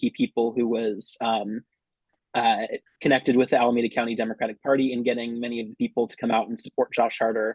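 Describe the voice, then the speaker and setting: Talking at a very fast pace in a Californian accent, a man holds a medium pitch with monotone, flat intonation. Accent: General American, Californian. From US West Coast, San Francisco Bay Area, California. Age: 20s. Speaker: local political candidate. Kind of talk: campaign speech.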